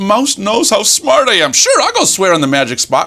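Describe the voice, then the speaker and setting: A man does a put-on character voice pitched high. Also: moderate pace. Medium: solo performance. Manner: boastful.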